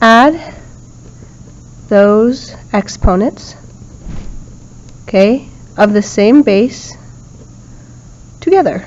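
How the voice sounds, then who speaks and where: Noticeable background noise behind a woman at a very slow pace, fairly high in pitch with ordinary pitch variation and long, frequent pauses. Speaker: math teacher. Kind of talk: lecture. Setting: recorded video lesson.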